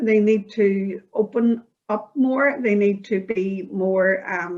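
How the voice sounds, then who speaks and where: A woman speaks at a very slow pace and a medium pitch. Her pitch varies in an ordinary way. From Northern Ireland (Belfast). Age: 60s. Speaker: community project participant. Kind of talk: interview.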